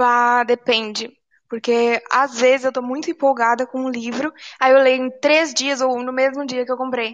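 Flat, monotone intonation marks this speaker. She is a woman with a high voice. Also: moderate pace. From Tocantins, Brazil (Palmas), born in Rio Grande do Sul. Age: 18. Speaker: poet, author, student. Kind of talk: casual interview chat.

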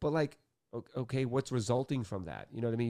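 A man with a Boston accent, medium pitch and a dark, mellow tone, ordinary pitch variation, very clean recording with a silent background. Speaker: author and music industry DJ. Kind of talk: casual interview chat.

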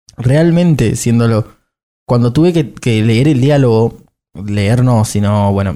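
A man speaks with a dark, mellow tone and lively intonation. The recording is very clean, with a silent background. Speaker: podcast guest, actor. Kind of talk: casual chat.

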